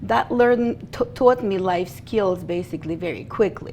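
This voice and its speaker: The speaker has a Russian accent and talks at a moderate pace with ordinary pitch variation. Noticeable background noise runs under the voice. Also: woman. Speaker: bookkeeper and business founder. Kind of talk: interview.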